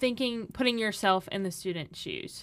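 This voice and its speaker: An unremarkable speaking voice carries lively intonation. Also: woman. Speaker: college student on activities team. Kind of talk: casual chat.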